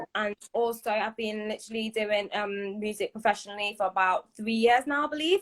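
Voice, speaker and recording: Talking at a fairly quick pace, a woman with a Liverpool accent keeps her intonation fairly even. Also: fairly high pitch for a woman, hardly any pauses. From northern England, Liverpool. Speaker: Afropop singer. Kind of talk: casual interview chat.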